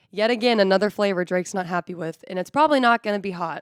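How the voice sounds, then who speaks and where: On a very clean, dry, close recording with no echo and a silent background, a woman talks at a very fast pace with ordinary pitch variation. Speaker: sports podcast co-host. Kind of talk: casual chat.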